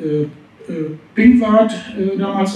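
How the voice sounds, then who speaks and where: A man's high-pitched voice with audible room echo. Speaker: restaurateur and trade association spokesman; hospitality association spokesman, guest. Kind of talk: panel discussion. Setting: stage with audience. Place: hall.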